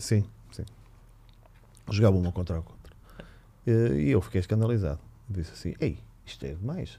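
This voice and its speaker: Dark, mellow tone with a somewhat breathy quality, lively intonation, moderate pace, and long, frequent pauses. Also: man, very deep, low pitch for a man. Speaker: handball coach. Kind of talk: casual chat.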